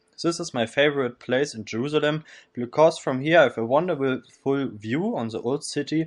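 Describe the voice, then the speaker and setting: A man talks at a moderate pace and a fairly high pitch. Music plays in the background. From northern Germany, Kiel. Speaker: volunteer. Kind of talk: scripted narration.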